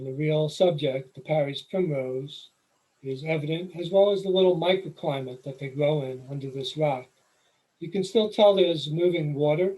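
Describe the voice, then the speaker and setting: A man with a New York accent, fairly high pitch, ordinary pitch variation, moderate pace and big swings in loudness. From New York City. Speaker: nature photographer, presenter. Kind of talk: presentation. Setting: video call.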